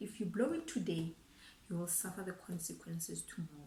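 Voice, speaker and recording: With a Botswana accent, a woman talks with ordinary pitch variation in a room with audible echo and noticeable background noise. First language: Setswana. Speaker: financial planner YouTuber. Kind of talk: casual talk to camera, finance advice. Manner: code-switching English and Setswana; halting, frequent repetitions.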